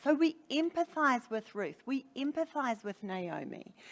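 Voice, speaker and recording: In a New Zealand accent, a woman speaks at a fairly slow pace with very wide pitch swings. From New Zealand, Hamilton (Waikato). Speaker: preacher. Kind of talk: sermon.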